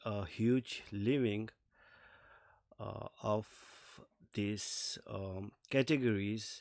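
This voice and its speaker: The recording is very clean, with a silent background. A man speaks with ordinary pitch variation. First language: not English. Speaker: streamer reacting to videos. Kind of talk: casual live stream commentary. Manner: halting, many fillers; slight stutter.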